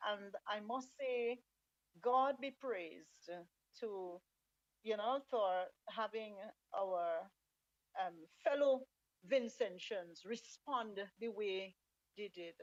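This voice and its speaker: A woman with a fairly high voice talks at a very slow pace, leaving long, frequent pauses. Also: ordinary pitch variation, dry, close sound with no echo. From St Vincent and the Grenadines. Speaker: radio talk show host. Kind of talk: talk show discussion.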